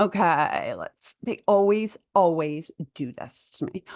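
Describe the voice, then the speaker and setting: Lively intonation comes through in a Philadelphia accent, with a dry, close sound, no echo, and a quiet background. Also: woman. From Philadelphia, US. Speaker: doula and conspiracy vlogger. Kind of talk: casual vlog monologue. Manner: loud; halting, with fillers and restarts.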